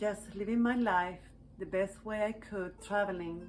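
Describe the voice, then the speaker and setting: A woman with a Chilean Spanish accent speaks at a moderate pace with fairly even intonation. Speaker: healing arts practitioner. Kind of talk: personal reflective talk to camera.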